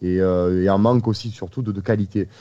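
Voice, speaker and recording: In a Marseille accent, a man speaks at a fairly low pitch with a dark, mellow tone and ordinary pitch variation against a quiet background. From Marseille, southern France. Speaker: football podcast host. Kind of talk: casual chat.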